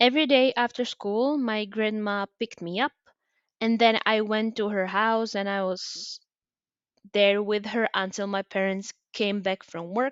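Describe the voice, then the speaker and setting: In a Czech accent, a woman talks at a fairly slow pace with fairly high pitch and ordinary pitch variation. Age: 20s. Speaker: podcaster. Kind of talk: personal storytelling monologue. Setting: homemade recording. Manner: hesitant, with fillers.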